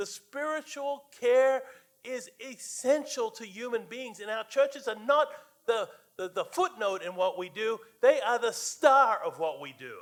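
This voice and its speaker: At a fairly slow pace, a man talks with lively intonation at an extremely high pitch. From Australia. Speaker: guest preacher, church advocate. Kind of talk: sermon. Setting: church. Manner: halting, many fillers.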